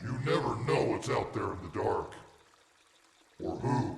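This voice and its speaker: Someone speaks in a put-on character voice at a moderate pace. A clear echo follows the words. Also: man. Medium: audio drama. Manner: curt, gruff.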